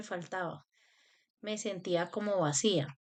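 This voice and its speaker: A woman speaks very slowly, with ordinary pitch variation. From Colombia, Cali. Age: 30s. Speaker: spiritual self-help youtuber. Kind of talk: personal talk to camera.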